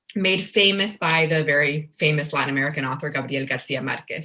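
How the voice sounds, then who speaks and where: Talking at a very fast pace, a woman uses lively intonation in a Spanish accent. Her voice has a fairly low pitch and a bright, sharp tone. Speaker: children's book author. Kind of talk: casual interview.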